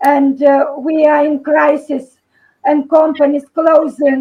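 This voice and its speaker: Her voice is high and her intonation flat and monotone. The woman talks at a fairly slow pace. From Lithuania. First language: Lithuanian. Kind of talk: video call discussion. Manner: halting.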